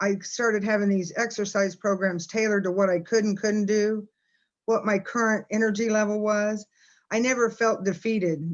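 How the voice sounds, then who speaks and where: A woman with medium pitch speaks over a quiet background. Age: 60s. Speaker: fitness program client. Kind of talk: interview.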